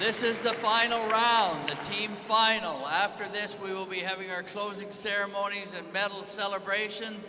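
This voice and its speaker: A man's raised, projected voice with a high pitch, a moderate pace and fairly even intonation, amid audible room echo and noticeable background noise. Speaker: competition announcer. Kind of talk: event announcements to live audience. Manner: loud.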